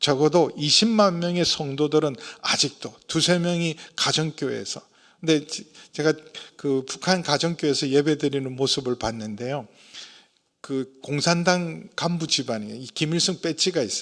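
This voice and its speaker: This man has a normal speaking voice with a fairly high pitch, ordinary pitch variation and a fairly slow pace. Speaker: senior pastor. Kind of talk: sermon.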